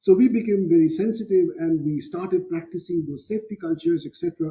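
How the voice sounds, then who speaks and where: With a Bengali accent, a man talks at a fairly quick pace in a high pitch, his tone dark and mellow and his pitch variation ordinary. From India, Kolkata (Bengal). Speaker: physics professor. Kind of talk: interview conversation.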